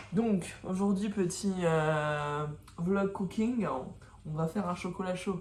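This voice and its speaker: A woman speaks at a very slow pace, somewhat breathy, at a medium pitch with ordinary pitch variation. Audible room echo is present. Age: 20s. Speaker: vlogger. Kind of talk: casual vlog monologue.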